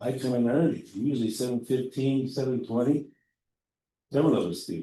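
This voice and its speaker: At a moderate pace, the speech comes through with a dark, mellow tone. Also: man. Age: 70s. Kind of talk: testimony. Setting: legislative chamber hearing.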